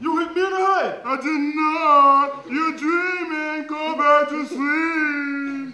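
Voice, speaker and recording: A man does a put-on character voice at an extremely high pitch. He goes at a very slow pace with hardly any pauses, and there is a slight echo. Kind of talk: comic overacting. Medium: stage play.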